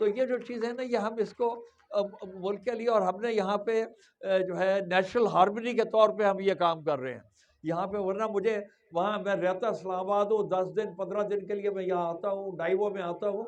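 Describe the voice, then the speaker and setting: The man's voice is high-pitched with fairly even intonation. He keeps a moderate pace. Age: 70s. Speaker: trust president. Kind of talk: speech at school event.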